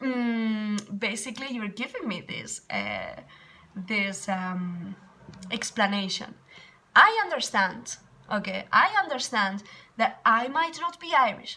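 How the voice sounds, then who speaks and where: Speaking at a very slow pace with lively intonation, this voice comes with a Spanish accent. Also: woman, fairly high pitch for a woman. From Spain. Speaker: English teacher. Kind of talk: casual vlog storytelling. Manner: animated.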